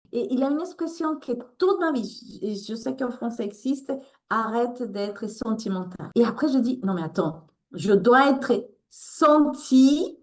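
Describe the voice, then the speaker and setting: Here a woman speaks with a Latin American accent. Her pitch is high and her pace fairly slow. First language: Spanish (speaking French). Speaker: author and resilience coach. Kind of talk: interview. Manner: halting.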